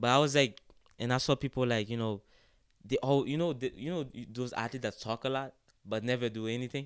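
A man with a Haitian accent talks at a very fast pace and a medium pitch, with fairly even intonation and long, frequent pauses. The recording is very clean with a silent background. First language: Haitian Creole. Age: 20s. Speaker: college soccer player. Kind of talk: podcast interview. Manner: halting.

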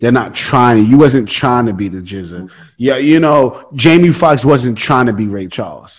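Speaking at a moderate pace, a man with a medium pitch uses lively intonation and big swings in loudness. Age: 20s. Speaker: podcast host, actor. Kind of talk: casual chat. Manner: animated.

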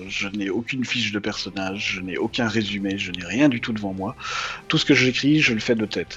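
A man with a Belgian accent speaks at a fairly quick pace in a fairly low voice. Noticeable background noise runs behind him. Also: ordinary pitch variation. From Belgium. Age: 30s. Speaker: anonymous web comic writer. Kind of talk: interview.

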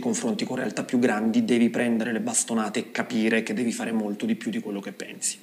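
Noticeable background noise surrounds the recording. A man speaks at a very fast pace. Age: 40s. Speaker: dance teacher and choreographer. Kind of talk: interview.

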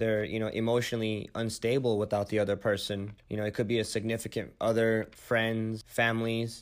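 On a very clean recording with a silent background, a man with a Californian accent talks at medium pitch and a fairly quick pace, with monotone, flat intonation and hardly any pauses. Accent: Californian American English. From US West Coast, San Francisco Bay Area. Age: 20s. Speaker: medical student. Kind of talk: casual chat.

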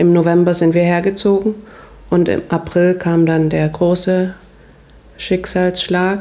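The voice is monotone and flat, with very even loudness, and moves at a very slow pace. Long, frequent pauses break it up against noticeable background noise. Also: woman, fairly low pitch for a woman. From Saxony, Großenhain near Dresden. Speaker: hairdresser. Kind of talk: interview.

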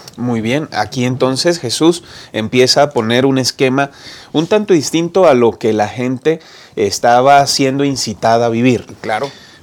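This is a plain, everyday voice that moves at a fairly slow pace with ordinary pitch variation. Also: man, medium pitch for a man. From Colombia, Bucaramanga (Santander). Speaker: pastor and program host. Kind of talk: moderated Bible study discussion.

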